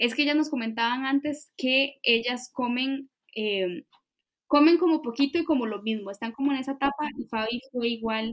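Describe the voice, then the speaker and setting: This woman speaks in a high pitch with ordinary pitch variation, captured with a dry, close sound and no echo. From Costa Rica. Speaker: podcast co-host. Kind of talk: casual chat.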